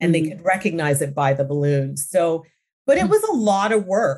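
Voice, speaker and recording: In a very clean recording with a silent background, a woman with a Canadian accent speaks with lively intonation. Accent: Canadian, little trace of British. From London, England, raised in Ontario, Canada. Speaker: business owner, real estate industry professional. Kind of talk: interview, casual chat.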